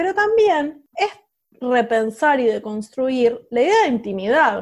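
A woman with a high-pitched voice talks at a fairly slow pace. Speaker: podcast co-host, sociologist. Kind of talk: casual chat.

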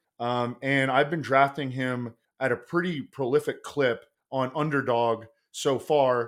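An unremarkable speaking voice belongs to this man, who talks at a fairly slow pace with fairly even intonation on a very clean recording with a silent background. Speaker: fantasy football and betting analyst. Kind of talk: casual podcast chat.

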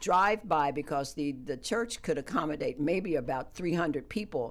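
A plain, everyday voice speaks with lively intonation. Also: woman. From West Virginia. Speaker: community center chair. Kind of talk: radio interview. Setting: radio studio.

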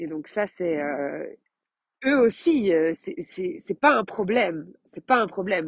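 Lively intonation in a dry, close sound with no echo, over a quiet background. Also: woman. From Belgium. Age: 30s. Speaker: life coach. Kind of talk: podcast monologue. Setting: outdoors while walking. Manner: hesitant with many fillers.

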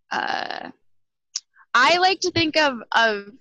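This voice belongs to a woman. She speaks with a western Canadian accent. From Alberta, western Canada. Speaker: podcast guest. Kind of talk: casual chat. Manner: animated.

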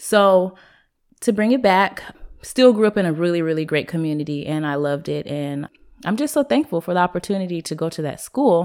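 A woman talks at a fairly quick pace in a normal speaking voice, fairly low in pitch with lively intonation. The recording is very clean and the background silent. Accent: American. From US Pacific Northwest, Seattle. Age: 20s. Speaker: entrepreneur, clothing line owner. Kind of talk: casual interview.

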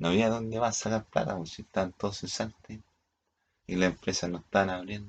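With a Chilean accent, a man speaks at a fairly low pitch and a moderate pace. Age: 40s. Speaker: vlogger. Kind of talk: casual monologue. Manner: halting.

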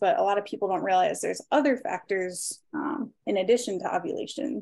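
A woman speaks with fairly high pitch and lively intonation. The background is quiet. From Maryland. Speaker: mentorship client. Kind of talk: casual chat.

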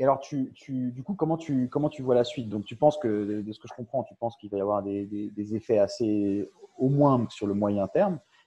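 At a moderate pace, a man speaks in a dark, mellow tone at medium pitch, with ordinary pitch variation and big swings in loudness. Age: young. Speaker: webinar host. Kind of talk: webinar interview. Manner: halting, many repetitions.

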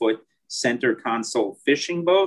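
With a normal speaking voice, a man talks at a fairly slow pace and with fairly even intonation. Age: 40s. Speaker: real estate investment sales executive. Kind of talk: interview.

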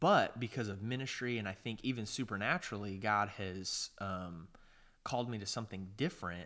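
On a very clean recording with a silent background, a bright, sharp tone runs at a fairly quick pace with ordinary pitch variation. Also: man, fairly low pitch for a man. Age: 30s. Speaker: podcast co-host. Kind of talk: casual chat.

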